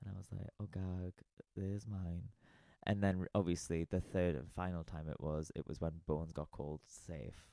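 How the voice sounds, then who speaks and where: This man has a very deep, low pitch and a dark, mellow tone, speaking at a moderate pace in a dry, close sound with no echo. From northern England, South Shields. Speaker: drag queen. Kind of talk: casual chat. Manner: animated.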